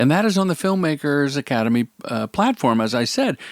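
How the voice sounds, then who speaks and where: The recording is very clean, with a silent background and a dry, close sound with no echo. A man speaks at a fairly quick pace with very wide pitch swings. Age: 60s. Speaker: commercial director and podcast host. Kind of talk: casual chat. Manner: animated.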